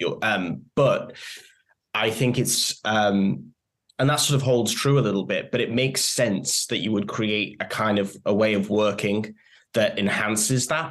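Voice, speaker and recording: A man's fairly low-pitched voice at a fairly slow pace, with ordinary pitch variation and very even loudness. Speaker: podcast host. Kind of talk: interview conversation. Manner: hesitant, filler words.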